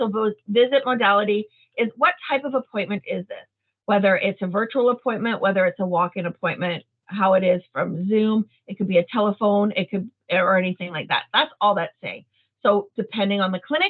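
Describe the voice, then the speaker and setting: A woman of medium pitch speaks fairly quickly with ordinary pitch variation. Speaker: clerical trainer. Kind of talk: software training session. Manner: fast.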